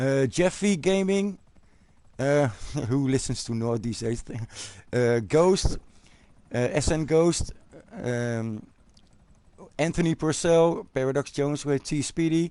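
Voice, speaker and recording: The voice has a dark, mellow tone and a Dutch accent, with lively intonation. It moves at a fairly slow pace with long, frequent pauses. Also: man, fairly high pitch for a man. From Netherlands. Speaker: gaming YouTuber. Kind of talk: live stream chat. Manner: halting, many fillers.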